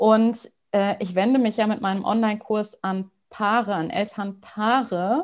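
An ordinary speaking voice delivered at a fairly slow pace. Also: woman, fairly high pitch for a woman, ordinary pitch variation. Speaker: podcast host and couples coach. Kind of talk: interview conversation.

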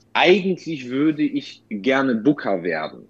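A man speaks with a Polish accent. His pitch sits fairly high. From Bavaria, Lower Franconia (Bad Kissingen). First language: Polish (speaking German). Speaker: booking agent and DJ. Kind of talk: casual interview. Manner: halting, many repeated words.

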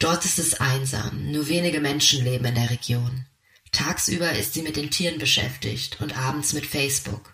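At a moderate pace and medium pitch, the man talks in a plain, everyday voice. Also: ordinary pitch variation. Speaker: narrator. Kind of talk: scripted narration.

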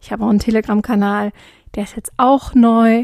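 A woman's dark, mellow voice, very cleanly recorded against a silent background, dry and close with no echo. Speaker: podcast host. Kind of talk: casual monologue.

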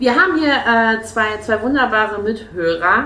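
A fairly high-pitched woman's voice with lively intonation and audible room echo. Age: 20s. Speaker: podcast host and life coach. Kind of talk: casual interview. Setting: hair salon, on location.

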